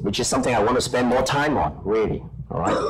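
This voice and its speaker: A man with lively intonation, amid noticeable background noise and audible room echo. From Hong Kong. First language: Cantonese/Chinese. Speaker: professor and journal editor. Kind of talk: conference panel talk.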